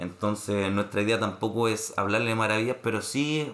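Using an ordinary speaking voice, a man talks at a fairly slow pace with a fairly low pitch and ordinary pitch variation. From Chile, Santiago (Renca). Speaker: podcast co-host. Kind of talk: casual chat.

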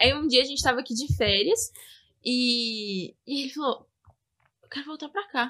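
A woman's high, raised and projected voice, bright and sharp in tone, at a moderate pace with ordinary pitch variation, big swings in loudness and long, frequent pauses. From Brazil, Belo Horizonte. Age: 20s. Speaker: podcast guest, Brazilian emigrant. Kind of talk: casual chat. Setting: at her home.

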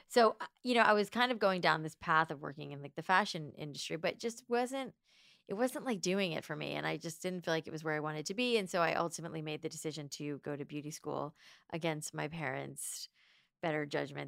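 Over a very clean recording with a silent background, a woman talks at a fairly quick pace with vocal fry. Her pitch is very deep and low, and her intonation is lively. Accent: American. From South Florida. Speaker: entrepreneur. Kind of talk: interview.

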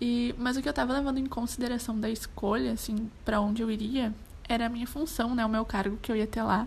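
A woman with an unremarkable speaking voice talks at a moderate pace. Her pitch is fairly high and her intonation fairly even. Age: 20s. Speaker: tourism student, former exchange worker. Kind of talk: casual interview chat.

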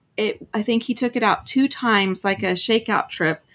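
A woman's fairly high, a normal speaking voice, fairly even in intonation, at a fairly slow pace. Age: 50s. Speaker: full-time RVer and YouTuber. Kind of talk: casual interview.

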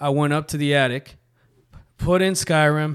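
On a very clean recording with a silent background, a man speaks at a fairly high pitch. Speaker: podcast host. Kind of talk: casual chat. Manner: animated.

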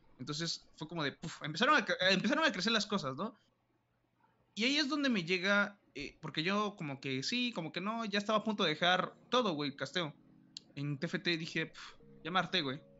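The voice moves through very wide pitch swings. Its pace is moderate. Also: man, high pitch for a man. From Mexico, Oaxaca. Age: 20s. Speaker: esports caster and student. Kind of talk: casual interview chat. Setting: live stream.

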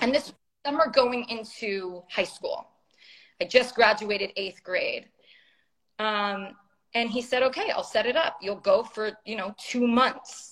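A fairly high-pitched woman with a Californian accent, fairly slow, with long, frequent pauses. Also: ordinary pitch variation. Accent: Californian American English. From US West Coast, San Francisco. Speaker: YouTuber. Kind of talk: casual interview chat.

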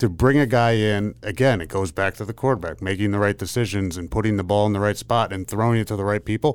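A man with an American accent and fairly low pitch at a very fast pace, ordinary pitch variation, on a very clean recording with a silent background. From Pennsylvania. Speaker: former football player, podcast co-host. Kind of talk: casual chat. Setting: studio. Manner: halting.

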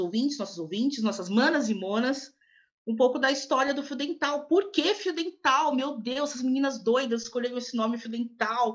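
A woman talks fairly quickly, her pitch high. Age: 20s. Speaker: podcast co-host, Portuguese teacher. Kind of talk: casual chat.

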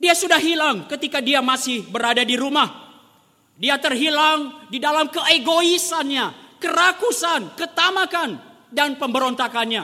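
With ordinary pitch variation, this raised, projected voice moves at a fairly slow pace. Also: man, extremely high pitch for a man. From rural Indonesia. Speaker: preacher. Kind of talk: sermon.

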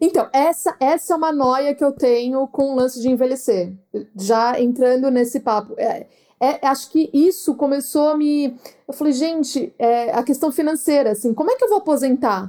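This woman speaks in a high voice at a moderate pace, her tone dark and mellow and her pitch varying in an ordinary way. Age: 30s. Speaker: podcast host and travel influencer. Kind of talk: casual chat.

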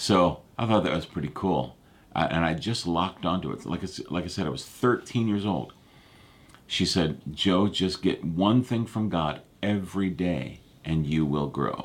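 Very deep, low-pitched male voice with vocal fry, ordinary pitch variation, and a fairly slow pace on a very clean recording with a silent background. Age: 50s. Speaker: pastor. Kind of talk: live prayer and prophecy broadcast. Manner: casual, halting with fillers.

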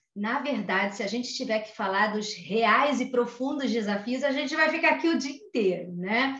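A moderate pace in a Rio de Janeiro accent, with ordinary pitch variation, hardly any pauses, audible room echo and noticeable background noise. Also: woman, high pitch for a woman. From Brazil, Rio de Janeiro. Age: 40s. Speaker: HR consultant. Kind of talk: interview. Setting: home office.

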